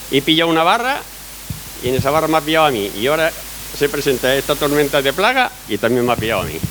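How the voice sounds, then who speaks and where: A man with a fairly high voice rattles along very fast while noticeable background noise carries on. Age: 60s. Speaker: olive farmer. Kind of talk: public Q&A testimony at a talk.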